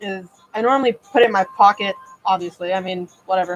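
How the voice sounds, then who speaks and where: Fairly even intonation and a fairly quick pace mark this speech, with music in the background. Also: woman. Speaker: model horse customizer. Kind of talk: live stream tutorial. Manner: casual, with fillers.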